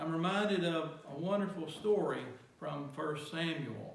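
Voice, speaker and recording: A man speaks very slowly with fairly even intonation over noticeable background noise. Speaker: pastor. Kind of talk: sermon.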